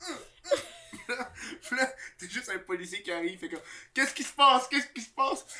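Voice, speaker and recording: In a Quebec accent, the speaker rushes at a very fast pace, broken by long, frequent pauses. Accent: Québécois French. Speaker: podcast host. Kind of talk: casual chat. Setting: studio.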